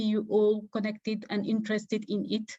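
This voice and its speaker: A woman at a moderate pace, fairly high in pitch, with a Senegalese accent. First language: Wolof. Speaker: development professional. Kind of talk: online info session presentation. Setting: video call.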